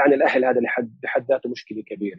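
A normal speaking voice at a fairly quick pace. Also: man. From Palestinian family in Lebanon. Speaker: researcher and analyst on Turkish affairs. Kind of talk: interview, conversational.

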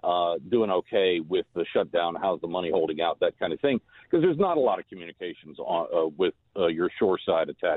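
A man with a Texan accent at a fairly quick pace. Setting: phone call.

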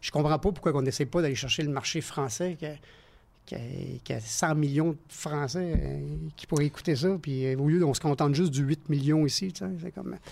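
A man speaks at a moderate pace with a Quebec accent. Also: ordinary pitch variation. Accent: Québécois French. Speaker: stunt performer. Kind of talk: casual chat. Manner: animated.

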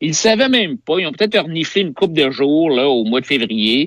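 The man's voice sits at a high pitch and swings very widely up and down. The sound is dry and close, with no echo. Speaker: provincial party leader, politician. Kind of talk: political interview. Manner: animated, hesitant with fillers.

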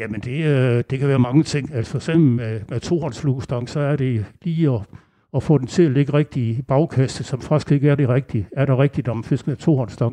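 A man with a dark, mellow tone speaks at a medium pitch. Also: ordinary pitch variation, moderate pace. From Denmark, Aarhus. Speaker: angler. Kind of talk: interview. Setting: local venue.

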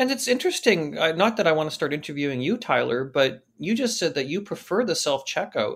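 An unremarkable speaking voice with a Canadian accent, lively intonation, and a fairly quick pace, on a very clean recording with a silent background. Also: man. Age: 40s. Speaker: retail industry journalist. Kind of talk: interview.

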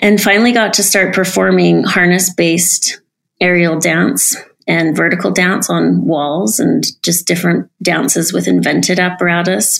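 A woman talks at a moderate pace, her loudness very even throughout. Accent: American. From US, Utah (Salt Lake City). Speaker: dancer and aerialist. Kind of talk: casual interview.

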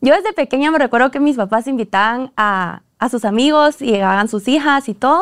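A woman's high-pitched voice at a fairly quick pace, with lively intonation, on a very clean recording with a silent background. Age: 20s. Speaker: dance academy founder and teacher. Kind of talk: casual interview chat.

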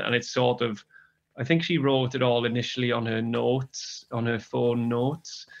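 With a Welsh accent, a man talks at a moderate pace and a medium pitch. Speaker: magazine co-editor. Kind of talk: interview.

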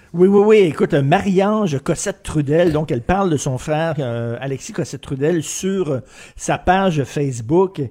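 A man speaks at a moderate pace in a fairly high pitch with lively intonation and a dark, mellow tone. The recording is very clean with a silent background. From Montreal (Verdun), Quebec. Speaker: opinion columnist. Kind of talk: commentary.

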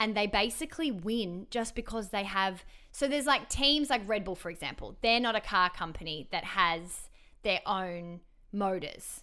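A woman's medium-pitched voice in an Australian accent, bright and sharp in tone, at a moderate pace with lively intonation, on a very clean recording with a silent background. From Melbourne, Australia. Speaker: radio broadcaster. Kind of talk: casual chat.

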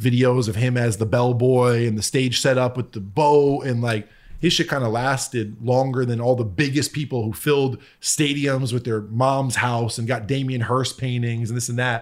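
With a normal speaking voice and an American accent, a man talks at a moderate pace and a medium pitch with fairly even intonation, in a very clean recording with a silent background. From US Northeast, Connecticut. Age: 30s. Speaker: music producer. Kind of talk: casual chat.

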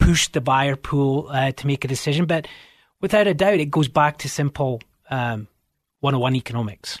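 A man's somewhat breathy, fairly high voice with a Scottish accent, ordinary pitch variation and a moderate pace, dry and close with no echo, over a quiet background. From Scotland. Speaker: realtor. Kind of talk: radio interview. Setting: radio studio.

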